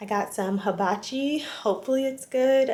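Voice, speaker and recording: A woman whispers at a moderate pace. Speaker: vlogger. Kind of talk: casual vlog chat. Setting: hotel room. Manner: whispering.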